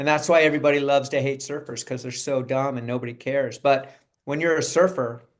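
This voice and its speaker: Fairly even intonation with a Californian accent. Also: man. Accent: Californian American. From Southern California. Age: 60s. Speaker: actor. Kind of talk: interview. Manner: casual, conversational.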